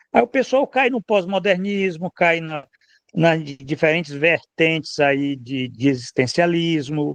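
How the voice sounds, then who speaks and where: Dry and close with no echo, a man's fairly high voice moves at a fairly slow pace with lively intonation. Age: 60s. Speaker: political commentator. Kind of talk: casual chat. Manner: animated; halting.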